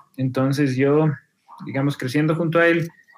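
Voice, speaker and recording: With an unremarkable speaking voice, a man talks at a fairly high pitch for a man and varies his pitch in an ordinary way. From Ecuador, Quito. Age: 40s. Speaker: filmmaker and musician. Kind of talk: casual interview.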